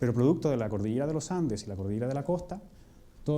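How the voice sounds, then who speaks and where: With a Chilean accent, a man speaks very fast at medium pitch, his tone dark and mellow and his intonation lively, amid audible room echo. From Chile, Atacama region (Vallenar). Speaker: physicist. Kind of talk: public lecture.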